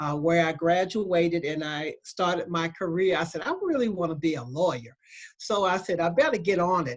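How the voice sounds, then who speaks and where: Speaking with an American accent, a woman uses a fairly low pitch. She keeps a moderate pace with ordinary pitch variation. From US South, Selma, Alabama. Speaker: law school dean. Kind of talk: panel talk. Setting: video call.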